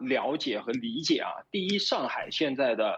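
With a fairly high voice, a man lets his pitch swing very widely. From Shanghai, China. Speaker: Shanghai resident during lockdown. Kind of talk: casual interview.

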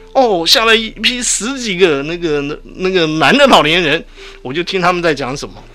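A man with a high pitch talks with lively intonation, and noticeable background noise is present. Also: moderate pace. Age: 60s. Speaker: retired veteran, sexology doctoral student. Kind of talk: radio interview. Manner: halting.

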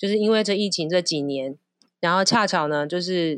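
Against a quiet background, a woman speaks at a moderate pace in a fairly low voice, with a dry, close sound and no echo. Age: 40s. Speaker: flight attendant and designer. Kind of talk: casual chat. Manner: animated.

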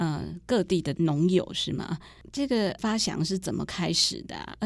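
Vocal fry in a woman's voice, alongside ordinary pitch variation. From rural Taiwan. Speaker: podcast host, journalist. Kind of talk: interview.

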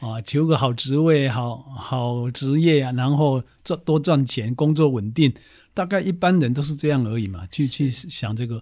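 A man with a Taiwanese accent is heard in a very clean recording with a silent background. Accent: Taiwanese Mandarin. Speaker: historian, professor and author. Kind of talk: casual interview.

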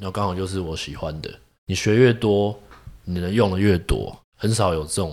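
A man with a very deep, low pitch, ordinary pitch variation, big swings in loudness and a moderate pace, on a very clean recording with a silent background. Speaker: traditional Chinese medicine doctor. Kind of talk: interview conversation. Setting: clinic.

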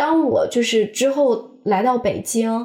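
An ordinary speaking voice from a woman, pitched fairly high with ordinary pitch variation. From Xi'an suburbs, China. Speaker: podcast co-host. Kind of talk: casual chat.

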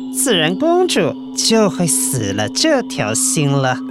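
A put-on character voice delivers the lines. Loud music plays in the background. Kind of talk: children's radio drama. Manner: sly, wheedling, flattering.

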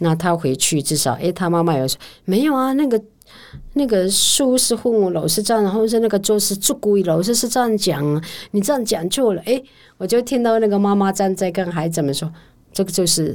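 Delivered at a fairly quick pace, an unremarkable speaking voice carries lively intonation. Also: woman, medium pitch for a woman. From Pingtung, Taiwan (Wutai Rukai village). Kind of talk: interview conversation.

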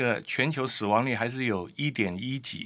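Lively intonation and a bright, sharp tone stand out in a very clean recording with a silent background. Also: man. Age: 60s. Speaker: immunology professor and doctor. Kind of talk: interview. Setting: studio.

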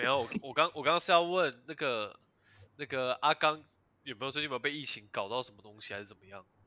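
The pace is very fast. This man's pitch sits fairly high. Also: ordinary pitch variation. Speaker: podcast host. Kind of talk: casual chat. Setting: online remote recording.

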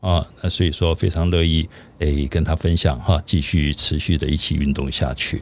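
A man with a very deep, low pitch and vocal fry, with fairly even intonation, a moderate pace and very even loudness. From Taiwan, Keelung. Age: 60s. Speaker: bodybuilder. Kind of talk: casual chat. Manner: many filler sounds, hesitant.

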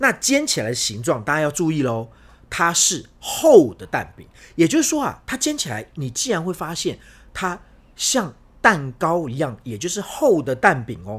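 Recorded very cleanly against a silent background, a man with vocal fry and a fairly high pitch talks at a moderate pace with very wide pitch swings and big swings in loudness. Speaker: Spain travel and food expert. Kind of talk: casual chat.

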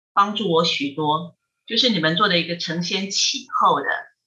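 Fairly slow and fairly low in pitch, a woman speaks in an unremarkable speaking voice. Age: 50s. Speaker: Buddhist monastic, head of a Buddhist research institute. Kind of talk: casual chat with dharma teaching. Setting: remote call.

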